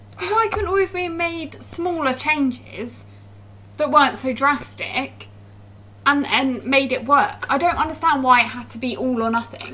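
Over noticeable background noise, a woman with a high pitch projects a raised voice at a fairly slow pace with lively intonation. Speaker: podcast host. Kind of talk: casual chat over wine.

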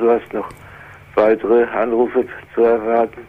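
Flat, monotone intonation marks this speech. It comes from a man at a medium pitch. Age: 70s. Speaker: retired caller caring for sick wife. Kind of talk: phone-in conversation. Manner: halting.

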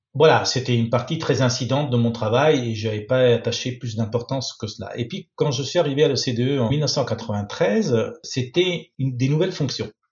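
A man talks at a moderate pace with hardly any pauses, his voice somewhat breathy. His pitch is medium and varies in an ordinary way. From Italy. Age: 60s. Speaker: lawyer. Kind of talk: interview.

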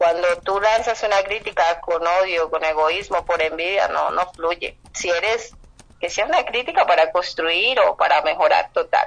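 The background noise is noticeable. A woman talks at a fairly slow pace. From Colombia. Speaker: writer. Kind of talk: interview.

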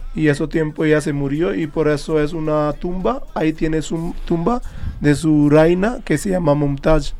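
Speaking at a fairly slow pace with a Hindi accent, a man uses a fairly high pitch, a dark, mellow tone and ordinary pitch variation. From India, Haryana. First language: Hindi (speaking Spanish). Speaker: chef. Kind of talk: interview. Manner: halting.

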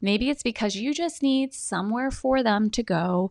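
An unremarkable speaking voice from a woman at a moderate pace, with lively intonation and a quiet background. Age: 30s. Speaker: podcast host. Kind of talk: podcast intro monologue; interview.

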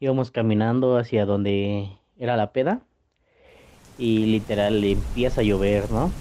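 With a dark, mellow tone and a fairly low pitch, a man talks at a fairly slow pace, keeping his loudness very even and leaving long, frequent pauses. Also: fairly even intonation. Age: young. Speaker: university student telling a personal story. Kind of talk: personal anecdote.

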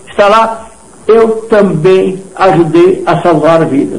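A man's speech carries audible room echo along with clearly audible background noise. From southern Brazil, Rio Grande do Sul. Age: 80s+. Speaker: retired businessman. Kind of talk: radio interview. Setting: radio studio. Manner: animated.

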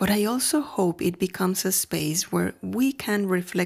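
A woman's medium-pitched voice in a Mexican accent at a moderate pace, on a very clean recording with a silent background. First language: Spanish. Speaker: podcaster. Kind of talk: scripted narration.

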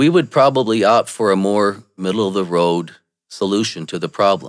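A man's normal speaking voice with an American accent, fairly low in pitch, fairly quick, with lively intonation, in a very clean recording with a silent background. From Michigan, US. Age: 50s. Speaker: political commentator. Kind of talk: monologue.

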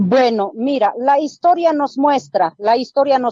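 Speaking with an Andean accent, a woman has a high pitch and a dark, mellow tone. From rural Oruro, Bolivia. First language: Aymara (speaking Spanish). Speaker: police sergeant. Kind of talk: radio interview. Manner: firm.

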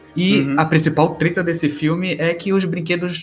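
Moderate pace and ordinary pitch variation over music in the background. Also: man. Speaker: podcast co-host. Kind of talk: casual chat.

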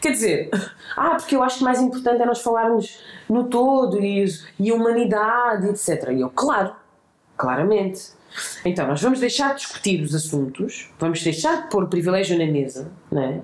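Her loudness stays very even while the woman's fairly high voice makes very wide pitch swings at a moderate pace, with room echo audible. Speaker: human rights activist. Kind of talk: casual interview conversation. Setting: host's home.

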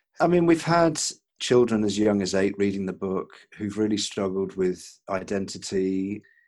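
With a normal speaking voice, a man talks at a moderate pace, his fairly low pitch carried by lively intonation. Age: 50s. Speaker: author and brand consultant. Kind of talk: interview.

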